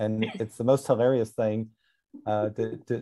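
A man's dark, mellow tone, flat monotone delivery at a moderate pace, quiet background. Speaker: author on lucid dreaming; guest. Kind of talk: casual panel discussion. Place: home room. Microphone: video call.

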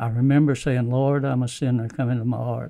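A man talks in a medium pitch with a dark, mellow tone and an American accent. His intonation is monotone and flat, and the background is quiet. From United States. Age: 80s+. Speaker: war veteran. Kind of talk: interview answer. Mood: earnest, reflective. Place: studio. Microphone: studio mic.

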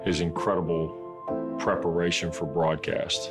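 A man talks while clear music sounds behind him. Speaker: sports broadcaster, son of a patient with FTD. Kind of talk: awareness-campaign interview testimony, talking about his father. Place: office.

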